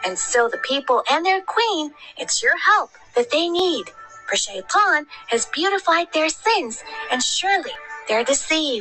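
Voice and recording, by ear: A woman performs a cartoonish character voice at an extremely high pitch. She keeps a moderate pace over clear music in the background.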